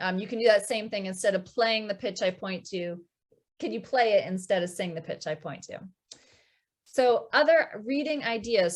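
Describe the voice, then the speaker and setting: A woman speaks at a moderate pace in a fairly high voice. She has a plain, everyday voice with lively intonation. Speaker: music teacher. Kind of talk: online workshop presentation. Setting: video call with screen share. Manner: many filler ums.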